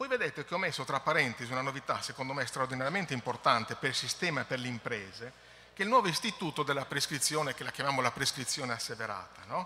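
A man's fairly high voice at a very fast pace with ordinary pitch variation, over light background noise. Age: middle-aged. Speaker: environmental agency technical director; conference presenter. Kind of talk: conference presentation. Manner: halting. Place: hall. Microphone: podium.

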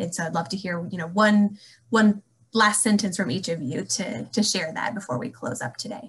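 Lively intonation marks a woman speaking at a moderate pace. Vocal fry runs through her voice. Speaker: alumni relations staff, moderator; moderator. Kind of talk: panel moderation. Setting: video call. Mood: friendly, warm. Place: home room. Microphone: webcam.

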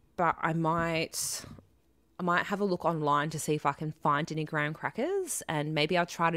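In an Australian accent, a woman speaks at a fairly slow pace with fairly low pitch and fairly even intonation. The background is quiet and the sound is dry with no echo. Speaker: live streamer. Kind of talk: casual live stream chat. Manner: chatty, rambling, lots of fillers. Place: home room. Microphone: studio mic.

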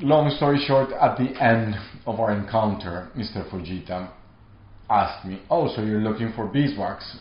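A man's somewhat breathy voice in a Spanish accent, at a moderate pace with ordinary pitch variation and audible room echo. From Colombia. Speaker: artist. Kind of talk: interview monologue; interview answer. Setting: artist studio. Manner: halting. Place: studio.

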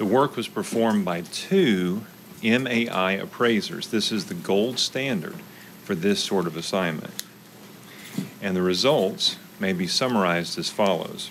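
A man speaks slowly-ish, at a fairly slow pace, in a fairly low voice. His pitch varies in an ordinary way, with light background noise. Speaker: county tax appraisal official. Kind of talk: presentation at public meeting. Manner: soft-spoken. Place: meeting room. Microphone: podium.

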